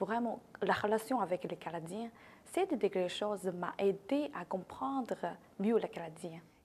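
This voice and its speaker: A woman with a Chinese accent, medium pitch, lively intonation and a fairly slow pace. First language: Chinese (speaking French). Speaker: newcomer, entrepreneur. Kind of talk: interview.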